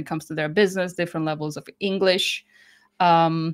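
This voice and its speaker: A woman with a Croatian accent speaks at a fairly quick pace and a fairly low pitch, in a monotone, flat intonation. The recording is very clean, with a silent background. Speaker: business English educator. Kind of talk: interview.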